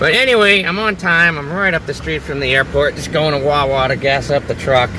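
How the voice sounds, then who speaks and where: Over noticeable background noise, a man with an American accent speaks at a fairly quick pace, with a fairly high pitch and ordinary pitch variation. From US Northeast (New England). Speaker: travel vlogger. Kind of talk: casual vlog to camera. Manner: fast.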